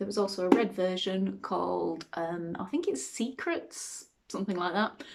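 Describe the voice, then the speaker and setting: A woman with a British accent talks at a medium pitch. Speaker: beauty box unboxing vlogger. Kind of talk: casual unboxing chat. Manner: hesitant, frequent ums.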